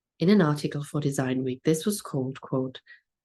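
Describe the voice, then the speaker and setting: A woman with a German accent talks at a fairly quick pace in a very deep, low voice with a dark, mellow tone and ordinary pitch variation. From Germany. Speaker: museum curator. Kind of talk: conference lecture. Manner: formal.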